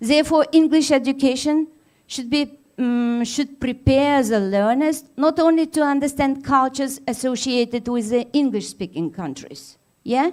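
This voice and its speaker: Pitch varies in an ordinary way at a moderate pace. The recording is very clean, with a silent background. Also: woman, high pitch for a woman. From Tatarstan, Russia. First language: Tatar. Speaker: university lecturer. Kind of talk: conference keynote. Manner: hesitant, many fillers.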